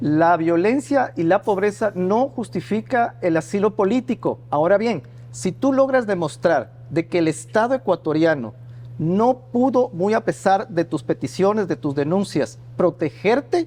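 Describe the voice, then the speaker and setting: A man's high-pitched voice, fairly slow in pace, with very wide pitch swings. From Ecuador. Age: 40s. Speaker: journalist. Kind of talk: interview.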